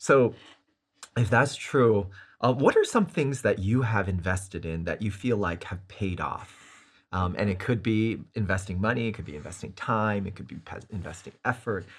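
With big swings in loudness, a man speaks somewhat breathily at a moderate pace in a fairly low voice with ordinary pitch variation. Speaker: Bible study host. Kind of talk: Bible study discussion.

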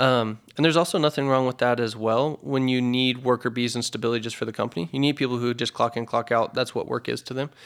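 With an American accent, a man of medium pitch rattles along at a very fast pace with fairly even intonation and hardly any pauses. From Idaho, US. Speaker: physical therapy business owner. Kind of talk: casual interview chat.

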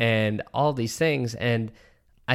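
Recorded very cleanly against a silent background, a man at medium pitch speaks in an animated tone. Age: 20s. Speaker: podcast host. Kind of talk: casual chat. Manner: animated, casual.

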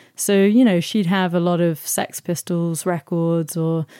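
A woman's fairly low, dark and mellow voice with fairly even intonation, dry and close with no echo, on a very clean recording with a silent background. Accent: London. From South London. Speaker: singer-songwriter and artist. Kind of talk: interview. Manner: halting, many fillers.

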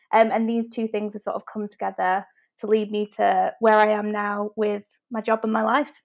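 A woman speaks in a Manchester accent. Her pitch is fairly high. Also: moderate pace, quiet background. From Manchester, England. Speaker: web designer and business owner. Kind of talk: casual interview chat.

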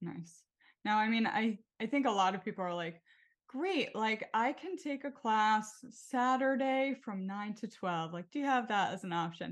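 A woman's ordinary speaking voice, fairly high in pitch with lively intonation, against a quiet background. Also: moderate pace. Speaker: podcast host. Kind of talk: casual interview chat.

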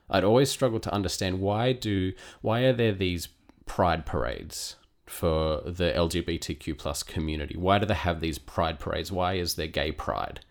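Lively intonation marks this man's normal speaking voice, heard at a moderate pace on a very clean recording with a silent background. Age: 30s. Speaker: podcast co-host. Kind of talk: personal testimony.

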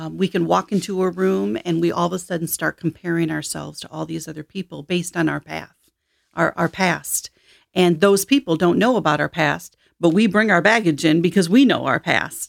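In a very clean recording with a silent background and a dry, close sound with no echo, a woman with an American accent speaks at a fairly quick pace, her fairly low pitch showing vocal fry and ordinary pitch variation. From Michigan, US. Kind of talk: interview about faith and life story.

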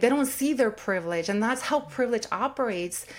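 A woman's fairly high-pitched, plain, everyday voice at a fairly quick pace. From California, Watsonville, born in Mexico. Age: 40s. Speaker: sociology professor. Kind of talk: interview conversation.

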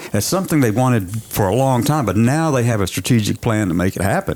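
A man's ordinary speaking voice, medium in pitch, at a fairly quick pace with lively intonation.

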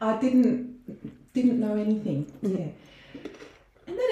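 A woman speaks fairly slowly with an Australian accent. The room echoes audibly, and background noise is noticeable. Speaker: dentist. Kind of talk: casual chat.

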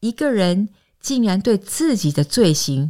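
Recorded very cleanly against a silent background with a dry, close sound and no echo, a woman speaks very slowly at medium pitch with very wide pitch swings. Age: 50s. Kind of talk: scripted narration.

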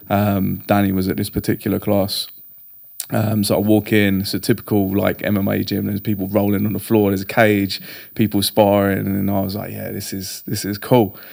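With a southern English accent, a man talks at a fairly quick pace in a fairly low, monotone voice with flat intonation. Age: 30s. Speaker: jiu-jitsu and strength coach. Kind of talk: casual chat.

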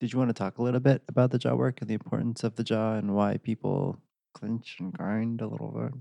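A man's very fast, medium-pitched voice, dark and mellow in tone, with ordinary pitch variation and a dry, close sound with no echo. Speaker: podcast co-host and healing practitioner. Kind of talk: casual interview conversation. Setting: guest's home practice.

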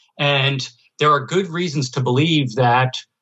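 With an American accent, a man talks in an unremarkable speaking voice at a moderate pace and with fairly even intonation. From New Jersey / New York area. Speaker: economics professor. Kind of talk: interview.

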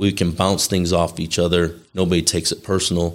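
An American accent at a moderate pace, with monotone, flat intonation on a very clean recording with a silent background. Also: man. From Chicago area, US Midwest. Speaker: casino company executive. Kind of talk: casual interview.

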